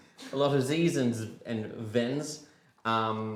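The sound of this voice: Reading aloud in an unforced voice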